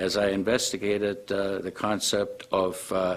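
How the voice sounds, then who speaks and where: This man has a fairly low-pitched voice. He talks at a moderate pace. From Germany. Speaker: vascular surgeon. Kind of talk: testimonial. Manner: formal.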